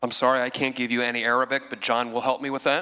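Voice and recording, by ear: In a raspy, put-on character voice, a man rattles along at a very fast pace with a medium pitch and monotone, flat intonation.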